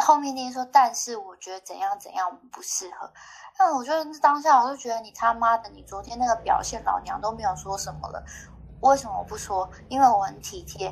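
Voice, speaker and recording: A woman with an unremarkable speaking voice talks at a fairly quick pace and a fairly high pitch. Her intonation is lively, and her loudness swings widely. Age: 30s. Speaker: podcast guest sharing dating stories. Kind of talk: casual chat.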